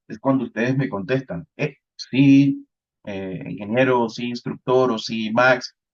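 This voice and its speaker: A man speaks at a fairly slow pace and a medium pitch, recorded with a dry, close sound and no echo. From Colombian Caribbean coast, Santa Marta. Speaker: networking instructor. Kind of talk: lecture.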